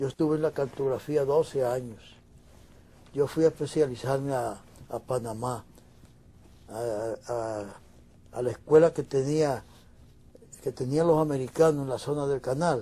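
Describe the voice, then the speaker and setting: At a fairly slow pace with long, frequent pauses, a man speaks in a dark, mellow tone at a fairly high pitch, his intonation fairly even. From Dominican Republic. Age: 80s+. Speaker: painter. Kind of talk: interview.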